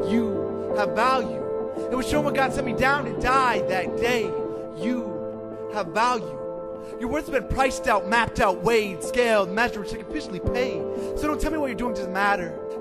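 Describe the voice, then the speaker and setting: A man talks with hardly any pauses while music plays in the background. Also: moderate pace. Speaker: spoken word poet. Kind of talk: spoken word poetry performance.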